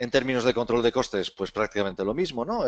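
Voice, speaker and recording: In a dry, close sound with no echo and a quiet background, a man of medium pitch talks fairly quickly with a Spanish accent. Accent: Spain Spanish. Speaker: webinar presenter. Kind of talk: webinar presentation. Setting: online webinar. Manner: casual, filler-heavy.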